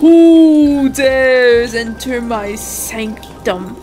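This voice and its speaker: A woman in a put-on character voice, high-pitched and very slow, over clear background noise. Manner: commanding, imposing.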